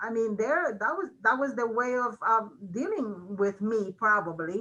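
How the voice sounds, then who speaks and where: A woman with a Mexican accent speaks at a moderate pace in a bright, sharp tone with lively intonation. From Mexico. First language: Spanish. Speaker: college registrar. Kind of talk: interview. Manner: many fillers, hesitant.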